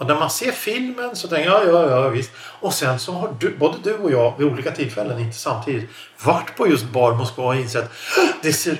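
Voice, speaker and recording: Through noticeable background noise, a man speaks with very wide pitch swings. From Sweden. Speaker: podcast host. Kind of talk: casual chat.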